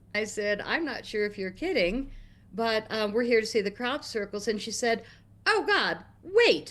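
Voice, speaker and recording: At a moderate pace, a woman with an American accent speaks in a fairly high pitch with ordinary pitch variation, a normal speaking voice. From United States. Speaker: guest on talk stream. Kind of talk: storytelling.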